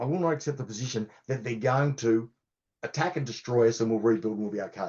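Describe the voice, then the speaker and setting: Speaking with an Australian accent, a man talks at a very fast pace. His pitch sits in the medium range. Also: ordinary pitch variation. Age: 60s. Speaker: cybersecurity consultant. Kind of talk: podcast interview.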